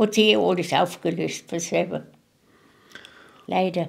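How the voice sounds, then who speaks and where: A woman speaks at a medium pitch with vocal fry. Her pace is fairly slow. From Moravia. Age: 80s+. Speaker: contemporary witness. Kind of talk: interview. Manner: halting.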